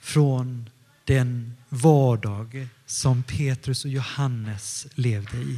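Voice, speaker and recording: A man speaks at a medium pitch in a somewhat breathy, dark and mellow tone, with ordinary pitch variation. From Stockholm area, Sweden, partly northern Italy. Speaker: pastor. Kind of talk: sermon.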